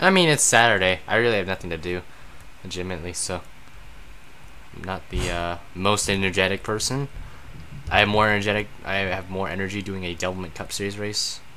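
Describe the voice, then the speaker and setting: Amid audible room echo, a man with a fairly low pitch and fairly even intonation talks at a fairly quick pace, broken by long, frequent pauses. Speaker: gaming streamer painting car liveries. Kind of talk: live stream commentary while painting. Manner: low-energy, flat tone.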